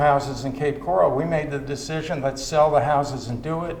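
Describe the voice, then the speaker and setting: A fairly high-pitched man with an American accent is heard with audible room echo and noticeable background noise. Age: 70s. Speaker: retiree resident. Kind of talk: casual interview. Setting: at home.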